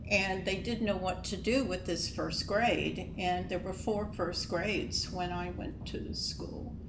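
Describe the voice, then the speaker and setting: This woman, with an American accent, talks fairly slowly, and noticeable background noise can be heard. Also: hardly any pauses. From Luray, Virginia. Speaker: local resident guest. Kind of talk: casual interview storytelling. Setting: in-person at college campus.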